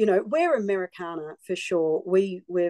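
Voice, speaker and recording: With an Australian accent, a woman speaks at a moderate pace in a medium pitch with ordinary variation and a dark, mellow tone, the sound dry and close with no echo against a quiet background. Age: 60s. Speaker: singer-songwriter. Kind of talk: interview.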